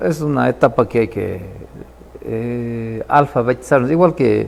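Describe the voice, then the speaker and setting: A man with an Ecuadorian accent, medium pitch and ordinary pitch variation. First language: Kichwa (speaking Spanish). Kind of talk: interview. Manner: halting.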